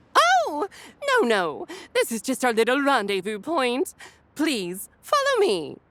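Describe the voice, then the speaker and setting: A female-sounding, put-on character voice sings out its words in a high, sing-song pitch at a fairly slow pace, broken by long, frequent pauses. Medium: audio drama. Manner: eccentric sing-song inflection; exaggeratedly cheerful, theatrical.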